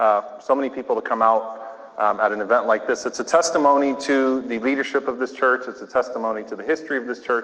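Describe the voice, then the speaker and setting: Noticeable noise sits behind a man speaking at a medium pitch. His pace is fairly quick and his intonation fairly even. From US South, New Orleans. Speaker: imam. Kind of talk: lecture. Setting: church with audience.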